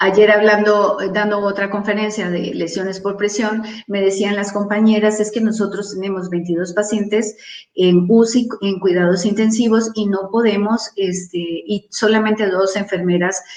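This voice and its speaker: Over noticeable background noise and audible room echo, a woman speaks at a medium pitch and a moderate pace in a monotone, flat intonation. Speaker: wound care nurse speaker. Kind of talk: conference talk.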